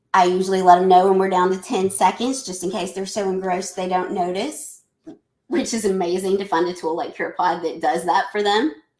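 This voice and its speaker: With a Southern US accent, a woman talks at a medium pitch. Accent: Southern US twang. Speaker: educator presenting a webinar. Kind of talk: live webinar presentation. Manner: chatty, talkative.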